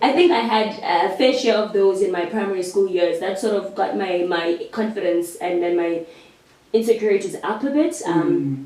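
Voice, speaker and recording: Against noticeable background noise, a woman with a South African accent speaks at a moderate pace with lively intonation. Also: medium pitch for a woman. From South Africa, Eastern Cape and Cape Town. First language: Xhosa. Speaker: actress. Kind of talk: casual interview chat.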